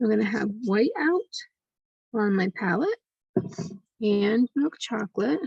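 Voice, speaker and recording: Quietly and at a fairly slow pace, a woman with a fairly high, somewhat breathy voice speaks in a gentle tone with lively intonation and long, frequent pauses, the sound dry and close with no echo. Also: very even loudness. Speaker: art instructor. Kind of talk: tutorial. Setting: home studio, recording late at night. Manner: quiet, hushed; slow, gentle.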